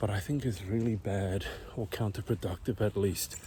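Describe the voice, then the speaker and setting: A man whispers at a moderate pace. His voice is somewhat breathy. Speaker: vlogger. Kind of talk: casual vlog monologue. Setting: outdoors, walking uphill in neighborhood. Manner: whispering.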